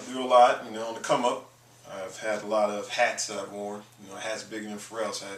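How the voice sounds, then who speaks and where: Noticeable background noise and audible room echo surround a man speaking with an American accent. He talks at a fairly quick pace, with big swings in loudness. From Maryland, US (Baltimore/Annapolis). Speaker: musician and producer. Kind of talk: interview.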